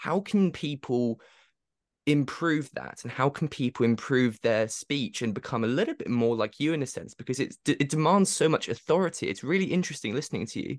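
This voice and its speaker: Against a quiet background, a man with a fairly high pitch talks at a fairly quick pace in a dry, close sound with no echo. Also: lively intonation. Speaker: podcast host. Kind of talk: interview. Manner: frequent filler words.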